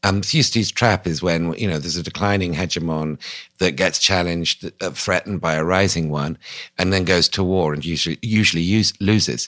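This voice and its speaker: With a British RP accent, a man speaks at a fairly quick pace, his very deep, low pitch showing ordinary variation in a dry, close sound with no echo. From England. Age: 50s. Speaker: newspaper columnist and author. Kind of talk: interview.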